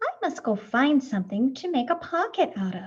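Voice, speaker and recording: A woman uses a put-on character voice at high pitch. Her pitch swings very widely at a moderate pace. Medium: read story. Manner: innocent, wondering.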